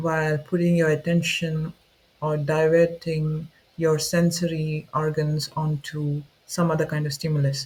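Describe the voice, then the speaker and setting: A man's fairly slow, flat, monotone delivery. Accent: non-native. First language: not English. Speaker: student video creator. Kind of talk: unscripted explainer talk. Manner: informal, with fillers and self-corrections.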